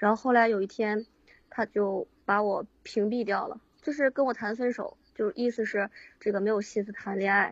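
A woman talks at a moderate pace in a fairly high, somewhat breathy voice. Her intonation stays fairly even. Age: 20s. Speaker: caller seeking relationship advice. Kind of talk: call-in personal story. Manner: halting, hesitant.

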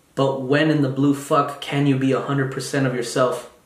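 Noticeable background noise and audible room echo surround a man whose pitch sits fairly high. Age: 20s. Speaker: podcast host, university student. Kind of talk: casual monologue. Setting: solo recording on video.

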